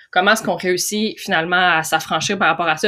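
A woman with a Quebec accent, medium in pitch, with fairly even intonation and a bright, sharp tone. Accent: Québécois French. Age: 30s. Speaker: podcast host. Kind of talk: interview.

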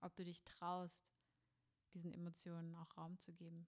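This woman has a fairly low pitch. Her pace is moderate. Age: 20s. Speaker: spiritual coach and podcast host. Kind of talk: solo podcast monologue.

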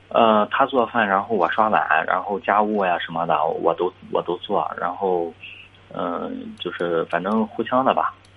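Pitched fairly low, a man speaks at a moderate pace. His pitch varies in an ordinary way. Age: 20s. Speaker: caller to advice show. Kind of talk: phone-in advice call. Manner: halting, many fillers and repetitions.

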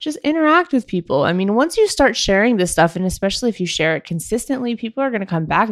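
A woman's voice swings very widely in pitch. The recording is very clean with a silent background, and the sound is dry and close with no echo. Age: 30s. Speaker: entrepreneur podcast host. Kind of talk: casual talk to listeners. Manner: giggly.

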